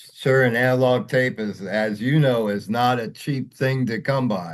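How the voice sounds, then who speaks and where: At a fairly slow pace, a man talks in a plain, everyday voice, medium in pitch with ordinary pitch variation. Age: 60s. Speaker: music interviewer. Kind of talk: interview.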